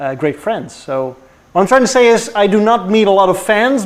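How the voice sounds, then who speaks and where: A man with a non-native accent, lively intonation and a fairly quick pace. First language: not English. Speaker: car YouTuber. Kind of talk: casual chat. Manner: halting.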